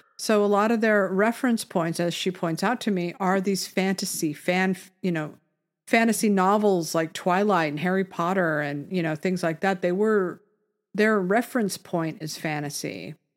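A woman with an unremarkable speaking voice, medium pitch and ordinary pitch variation at a moderate pace, on a very clean recording with a silent background. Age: 50s. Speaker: podcast co-host. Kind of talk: casual chat.

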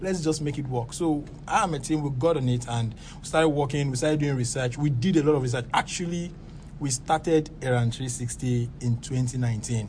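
Somewhat breathy and fairly high-pitched, a man speaks at a moderate pace with ordinary pitch variation amid audible room echo. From Lagos, Nigeria. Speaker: startup founder. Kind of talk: interview.

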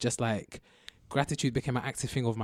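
Speaking very fast in a London accent, a man keeps his intonation fairly even, with a dry, close sound and no echo. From southwest London. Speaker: university student. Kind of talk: casual chat.

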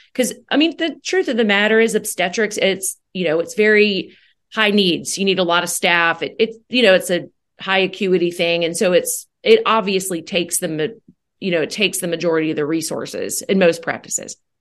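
A woman with an American accent talks at a fairly quick pace in a medium pitch with ordinary pitch variation. It is a normal speaking voice against a quiet background. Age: 40s. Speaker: gynecologist. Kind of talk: interview.

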